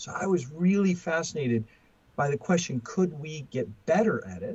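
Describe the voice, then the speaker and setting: A man speaks with an American accent and ordinary pitch variation. His voice is somewhat breathy. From US West Coast. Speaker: professor and author. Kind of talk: podcast interview. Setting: remote call. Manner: halting, many fillers and repetitions.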